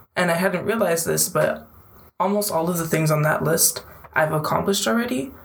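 A woman with a fairly low pitch and ordinary pitch variation is heard with audible room echo and noticeable background noise. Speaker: student club president. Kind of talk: interview.

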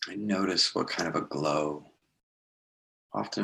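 The pace of this man's speech is moderate. Ordinary pitch variation marks his delivery. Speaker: meditation guide. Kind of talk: guided meditation.

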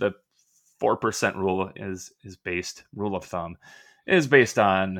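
A man's fairly low voice with an Upper Midwest accent. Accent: Upper Midwest American. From US upper Midwest, Minnesota. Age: 40s. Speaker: retired physician and finance blogger. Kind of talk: casual interview.

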